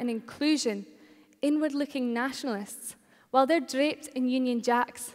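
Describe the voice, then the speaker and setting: A woman speaks at a moderate pace with a high pitch and a Shetland accent. Her intonation is fairly even, and the recording is very clean with a silent background. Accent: Scottish (Shetland). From Shetland, Scotland. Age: 20s. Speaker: student political campaigner. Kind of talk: political speech to a live audience.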